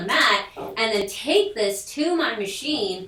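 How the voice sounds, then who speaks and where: A woman with a medium-pitched voice talks amid noticeable background noise and audible room echo. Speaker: sewing machine product demonstrator. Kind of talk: product tutorial. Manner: chatty, casual.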